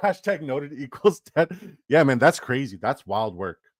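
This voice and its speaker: Animated and fairly high-pitched, a man with vocal fry swings very widely in pitch, in a dry, close sound with no echo. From Canada. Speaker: fantasy football streamer. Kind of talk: live stream chat.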